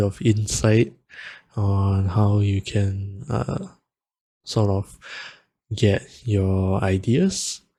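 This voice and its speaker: Against a silent background on a very clean recording, a man speaks in a dark, mellow tone that is somewhat breathy. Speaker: music producer and vtuber. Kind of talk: tutorial. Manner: slow.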